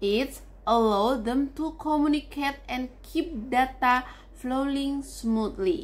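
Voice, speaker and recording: Speaking at a very slow pace with an Indonesian accent, a woman with a high pitch uses lively intonation. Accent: Javanese-accented English. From Java, Indonesia. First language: not English. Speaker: university student. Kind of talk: class presentation.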